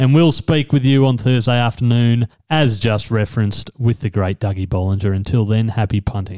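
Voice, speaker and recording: A man talks at a fairly quick pace with hardly any pauses and very even loudness. His medium-pitched voice has a dark, mellow tone. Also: ordinary pitch variation, dry, close sound with no echo. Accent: Australian. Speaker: podcast host. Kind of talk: casual chat.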